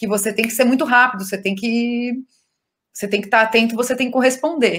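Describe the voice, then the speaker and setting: In an ordinary speaking voice, a woman with fairly high pitch talks at a fairly quick pace with fairly even intonation. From southern Brazil (Rio Grande do Sul). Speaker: actress. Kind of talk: interview. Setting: video call.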